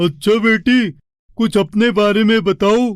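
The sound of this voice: A man uses a cartoonish character voice pitched high.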